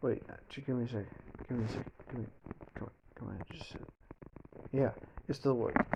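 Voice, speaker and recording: Speaking at a very fast pace, a man breaks his speech with long, frequent pauses. His medium-pitched voice keeps fairly even intonation while its loudness swings widely. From Denmark. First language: Danish. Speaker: YouTuber. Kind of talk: storytelling fan fiction narration. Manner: halting, many false starts.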